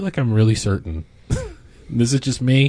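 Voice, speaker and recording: A man talks at a medium pitch in a somewhat breathy voice. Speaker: podcast co-host. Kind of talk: casual chat. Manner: halting, laughs often.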